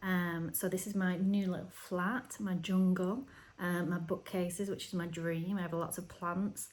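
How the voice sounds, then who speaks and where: A woman speaks with a northern English accent. Her voice is somewhat breathy. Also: medium pitch for a woman, fairly even intonation, fairly slow pace. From northern England, Oldham near Manchester. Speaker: knitting podcaster. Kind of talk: casual video podcast chat. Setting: at home. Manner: hesitant, many fillers.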